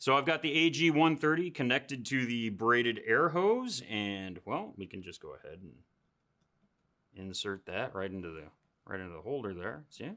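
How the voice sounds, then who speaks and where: His tone bright and sharp, a man speaks with very wide pitch swings. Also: medium pitch for a man, moderate pace, big swings in loudness, very clean recording, silent background. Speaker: scale model magazine video host. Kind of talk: product review tutorial. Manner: loud; casual, conversational with fillers.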